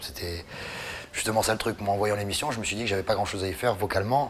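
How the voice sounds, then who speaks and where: Noticeable background noise accompanies a man speaking at a fairly low pitch. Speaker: singer. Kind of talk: interview. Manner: halting.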